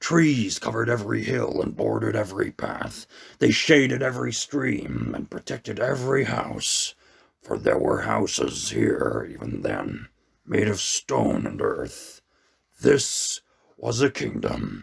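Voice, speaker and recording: A man puts on a raspy character voice and speaks at a fairly slow pace. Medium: read story. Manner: solemn, measured, commanding.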